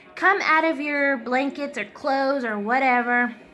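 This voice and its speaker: The room echo is audible. A woman speaks with fairly even intonation. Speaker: family vlogger. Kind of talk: casual vlog. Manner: halting.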